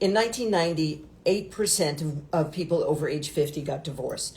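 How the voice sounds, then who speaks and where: A woman speaks in a dark, mellow, somewhat breathy voice, fairly low in pitch with ordinary pitch variation. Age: 60s. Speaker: talk show co-host. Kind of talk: casual chat.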